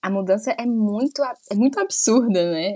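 A woman's medium-pitched voice at a fairly slow pace, with ordinary pitch variation and a normal speaking voice. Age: 30s. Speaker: podcast co-host, mother. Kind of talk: casual chat.

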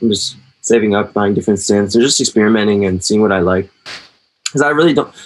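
A man with an American accent, fairly low-pitched, at a very fast pace. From US. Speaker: hardcore drummer and DJ. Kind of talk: casual interview chat.

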